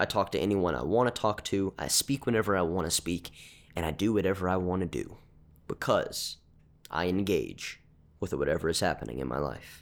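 On a very clean recording with a silent background, someone talks at a fairly quick pace with lively intonation and vocal fry. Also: man, very deep, low pitch for a man. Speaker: podcast host. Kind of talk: motivational monologue. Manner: informal, conversational, earnest.

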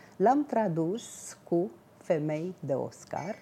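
A woman's voice at a fairly low pitch. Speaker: book presenter, translator. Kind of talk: book discussion.

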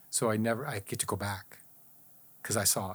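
Over a very clean recording with a silent background, a man talks at a fairly quick pace in a medium pitch with monotone, flat intonation. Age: 60s. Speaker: healing survivor sharing faith story. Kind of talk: testimony.

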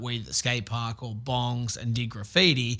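A man with an Australian accent speaks at a medium pitch in a bright, sharp tone, recorded very cleanly against a silent background. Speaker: pro skateboarder and TV host. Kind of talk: casual interview. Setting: radio studio.

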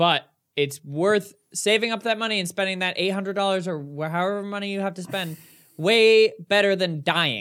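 This man speaks with a high pitch and fairly even intonation. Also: moderate pace. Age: 20s. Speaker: podcast co-host. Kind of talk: casual chat. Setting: video recording.

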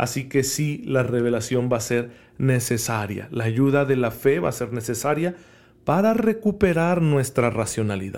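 A man with a normal speaking voice talks at a fairly slow pace, his medium pitch carried by lively intonation. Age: 30s. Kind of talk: homily-style podcast talk.

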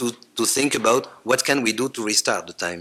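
A man with a Belgian French accent, bright and sharp in tone, medium in pitch, with ordinary pitch variation and a moderate pace. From French-speaking Belgium. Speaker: psychiatrist and family therapist. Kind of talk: reading a lecture paper. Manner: halting.

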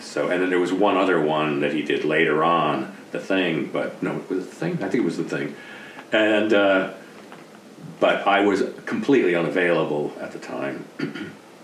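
The speaker has an American accent, ordinary pitch variation and a moderate pace. Noticeable background noise runs under the voice. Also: man, very deep, low pitch for a man. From US East Coast. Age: 60s. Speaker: retired special effects artist. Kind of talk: casual interview.

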